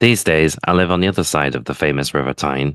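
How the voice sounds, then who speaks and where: A man speaks in a very deep, low voice with vocal fry. His pace is fairly quick and his pitch varies in an ordinary way. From northeast England (West Monkseaton, near Tynemouth). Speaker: tech podcast host. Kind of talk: scripted narration.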